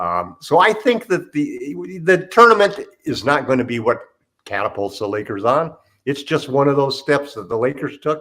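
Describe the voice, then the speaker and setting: A man with a fairly high voice speaks at a moderate pace. His tone is bright and sharp, and his pitch swings very widely. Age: 70s. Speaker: basketball podcast panelist. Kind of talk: casual sports chat.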